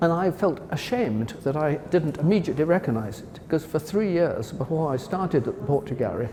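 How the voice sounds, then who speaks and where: Over noticeable background noise, a man talks at a fairly quick pace and a fairly high pitch. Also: lively intonation. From Wales. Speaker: art historian, former gallery director. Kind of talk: interview about a painting. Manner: enthusiastic, with hesitations and self-corrections.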